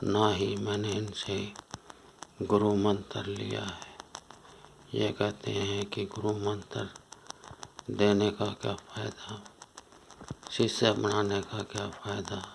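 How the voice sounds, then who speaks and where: Over noticeable background noise, a man talks in a fairly low pitch with monotone, flat intonation and long, frequent pauses. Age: 60s. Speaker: spiritual seeker. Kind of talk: testimony.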